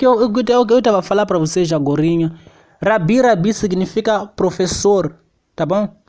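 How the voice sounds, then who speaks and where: A high-pitched man talking at a fairly quick pace, with ordinary pitch variation. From Mozambique. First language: Xangana (Tsonga) (speaking Portuguese). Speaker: preacher. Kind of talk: sermon.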